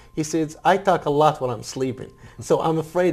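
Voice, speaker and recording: Noticeable background noise behind a man speaking in a fairly high pitch. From Iraq. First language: Arabic. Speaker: Iraqi refugee and former military interpreter. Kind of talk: interview. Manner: halting.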